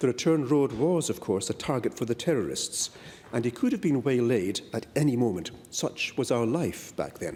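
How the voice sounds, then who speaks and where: A man's medium-pitched voice with a slight Scottish accent, at a moderate pace with lively intonation. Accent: slight Scottish lilt. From Malaysia and Perth, Western Australia, Scottish family. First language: Malay. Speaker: politician. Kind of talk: parliamentary speech. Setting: parliament chamber. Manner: formal.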